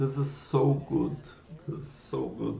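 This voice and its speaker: A man's fairly high-pitched voice carries audible room echo. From Brazil. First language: Portuguese. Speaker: programming livestreamer. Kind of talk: live coding stream chat. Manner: halting, with repetitions.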